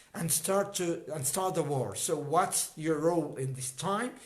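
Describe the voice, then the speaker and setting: Speaking at a moderate pace with an Arabic accent, a man with a high-pitched voice is heard over audible room echo. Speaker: health educator. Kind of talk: livestream talk. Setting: livestream. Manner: halting.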